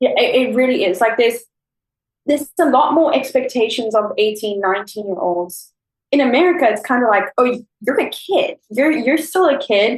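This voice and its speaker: A woman with a South African accent speaks high in pitch, with an animated tone and lively intonation. Her loudness stays very even while music plays in the background. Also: moderate pace. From South Africa, Cape Town. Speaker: former au pair. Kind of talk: casual chat. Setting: remote call.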